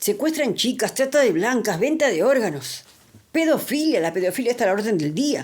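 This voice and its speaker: Her voice shows very wide pitch swings. The woman keeps a moderate pace. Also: fairly high pitch for a woman. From Argentina. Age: 60s. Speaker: political commentary vlogger. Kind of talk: video monologue. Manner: animated.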